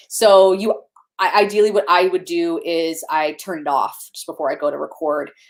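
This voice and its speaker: The woman's voice sits at a fairly low pitch. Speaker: video producer. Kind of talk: casual chat. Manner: fast.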